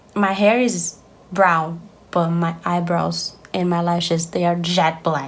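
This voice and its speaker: A woman's fairly low voice at a very slow pace, with noticeable background noise. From Brazil. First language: Portuguese. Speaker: beauty vlogger. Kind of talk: makeup tutorial.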